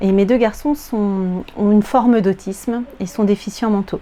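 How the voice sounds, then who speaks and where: A woman with a medium-pitched voice talks fairly slowly. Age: 40s. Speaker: sewing vlogger, primary school teacher. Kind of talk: casual vlog chat. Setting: at home, in her apartment. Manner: hesitant, many filler words.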